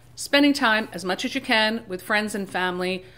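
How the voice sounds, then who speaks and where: Moderate pacing from a female speaker. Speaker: horror story narrator. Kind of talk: casual talk to camera. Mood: warm, festive greeting. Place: home room.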